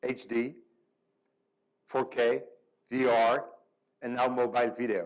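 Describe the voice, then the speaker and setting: A man speaks with a French accent. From France. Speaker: panel moderator. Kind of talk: panel discussion. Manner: halting, many fillers.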